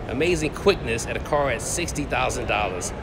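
Noticeable background noise fills the recording. Over it, a man talks. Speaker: car vlogger. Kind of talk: casual vlog chat. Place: hall. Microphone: phone near.

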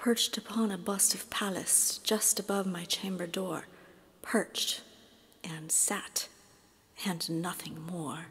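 A soft-spoken woman talks in a calm tone at a medium pitch and fairly slow pace. Noticeable background noise can be heard behind her. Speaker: classical soprano, reiki practitioner. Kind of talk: poetry reading. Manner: soft-spoken, calm.

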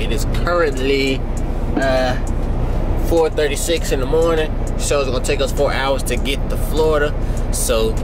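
A man speaks in a dry sound with no echo. Music can be heard in the background. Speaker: rookie truck driver vlogger. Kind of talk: casual vlog chat. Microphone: phone near.

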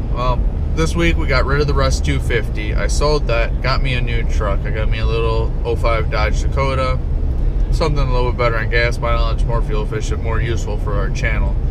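A man speaks at a fairly quick pace. Loud background noise accompanies him. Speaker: channel host. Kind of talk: casual vlog chat. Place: car. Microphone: phone near.

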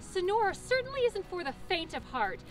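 A woman at a moderate pace, dry sound with no echo, clear music in the background. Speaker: travel vlogger. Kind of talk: travel vlog presentation. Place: open country.

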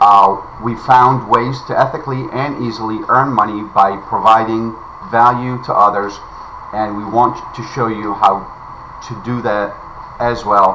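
With noticeable background noise, a man speaks at a fairly slow pace with fairly even intonation and long, frequent pauses. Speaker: online marketing youtuber. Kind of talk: commentary reading a web page.

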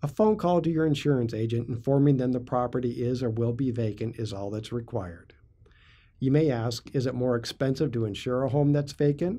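With a dark, mellow tone, a man speaks at a fairly quick pace. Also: ordinary pitch variation. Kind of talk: informational vlog talk.

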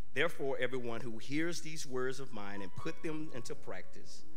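A man talks at a fairly slow pace while faint music sounds in the background. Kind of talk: scripture reading. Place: church. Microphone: podium.

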